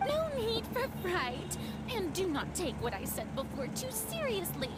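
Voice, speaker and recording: Someone uses a put-on character voice at a moderate pace against loud background noise. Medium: game stream. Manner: theatrical, dramatic.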